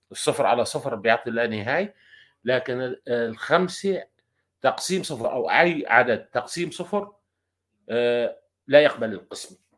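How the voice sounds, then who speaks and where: A man at medium pitch with lively intonation, speaking at a very slow pace in a very clean recording with a silent background. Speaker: podcast panelist. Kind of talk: casual chat.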